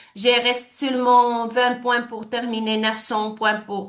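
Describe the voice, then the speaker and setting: A woman speaks at a very slow pace with a non-native accent. Room echo is audible. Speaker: network marketing leader. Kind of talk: sales presentation. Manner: halting, many hesitations and false starts.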